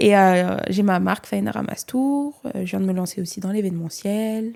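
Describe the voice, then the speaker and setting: Her medium-pitched voice has a dark, mellow tone and ordinary pitch variation. The woman speaks at a moderate pace on a very clean recording with a silent background. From France (Nice, Côte d'Azur). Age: 20s. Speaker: content creator and entrepreneur. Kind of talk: podcast interview.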